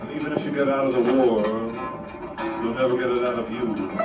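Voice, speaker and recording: A man with an American accent talks at a moderate pace. Loud background noise fills the recording. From United States. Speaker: poet. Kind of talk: spoken word poetry performance. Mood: dark, intense. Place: hall.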